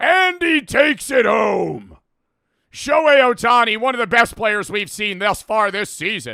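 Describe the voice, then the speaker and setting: Using a put-on character voice, a man speaks at a high pitch with lively intonation. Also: moderate pace. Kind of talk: professional broadcast style. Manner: obnoxious, overly formal.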